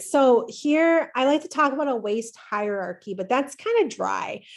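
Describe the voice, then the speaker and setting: The intonation is lively. The background is quiet. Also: woman. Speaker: community educator, former nurse. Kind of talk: presentation. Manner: fast; animated.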